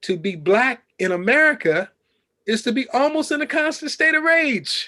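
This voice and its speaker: A man with an extremely high pitch speaks at a moderate pace in a raised, projected voice, his bright, sharp tone swinging very widely in pitch. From Chicago, West Side. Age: 60s. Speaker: journalist and professor. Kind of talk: interview. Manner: impassioned.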